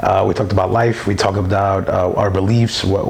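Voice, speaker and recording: With an American accent, a man speaks at a moderate pace in a fairly low pitch and fairly even intonation, with audible room echo and noticeable background noise. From New York City (Brooklyn). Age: 30s. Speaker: church member. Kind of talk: testimony. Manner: halting, many fillers.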